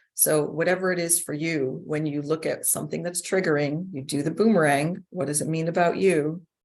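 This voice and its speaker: In an ordinary speaking voice, a woman talks at a moderate pace with a fairly low pitch and fairly even intonation. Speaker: inquiry facilitator and trainer. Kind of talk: instructional talk.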